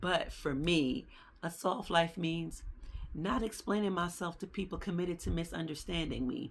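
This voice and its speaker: A woman with a fairly low pitch, vocal fry, an animated tone and ordinary pitch variation, in a very clean recording over a silent background. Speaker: podcast host. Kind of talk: casual monologue.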